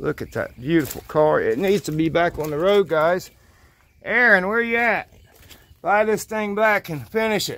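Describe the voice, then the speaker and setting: The pace is moderate. The sound is dry, with no echo. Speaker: car finder vlogger. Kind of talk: casual vlog chat. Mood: amused, enthusiastic. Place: open country. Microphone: phone near.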